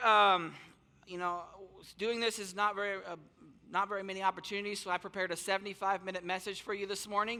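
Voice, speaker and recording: A man's raised, projected voice, high-pitched and bright and sharp in tone, at a very fast pace. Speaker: youth minister speaking at a church service. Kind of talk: casual, energetic preaching. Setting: church service, on stage with microphone. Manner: fast talker.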